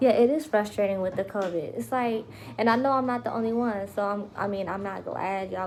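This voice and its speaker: A woman speaks quietly. Her intonation is lively. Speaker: vlogger. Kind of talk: casual live vlog update. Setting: home livestream. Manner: lowered voice, quiet.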